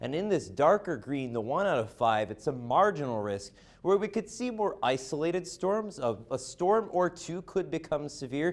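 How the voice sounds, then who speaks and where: With hardly any pauses, a man speaks at a fairly high pitch, using vocal fry and very wide pitch swings. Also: moderate pace. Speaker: weather forecaster, student broadcaster. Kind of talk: TV weather forecast presentation.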